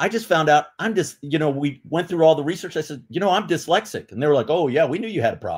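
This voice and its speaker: Recorded very cleanly against a silent background, a man with a fairly high pitch speaks at a very fast pace with hardly any pauses. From New York City. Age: 60s. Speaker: retired police officer and literacy advocate. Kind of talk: interview.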